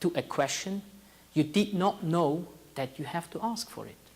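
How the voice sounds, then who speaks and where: In a Swiss accent, a man speaks at a moderate pace with a fairly high pitch and ordinary pitch variation. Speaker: tech startup founder. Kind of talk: talk to an audience.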